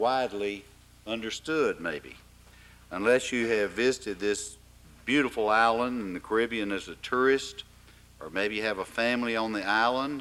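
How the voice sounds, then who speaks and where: With an Arkansas accent, a man of medium pitch speaks with ordinary pitch variation. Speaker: forum host. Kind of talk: formal event introduction. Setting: forum with live audience.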